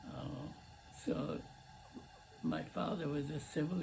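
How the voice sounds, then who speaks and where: A man talks in a room with audible echo, and noticeable background noise runs throughout. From Lebanon. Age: 80s+. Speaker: cooking channel host. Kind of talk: casual talk to camera. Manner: halting, many fillers.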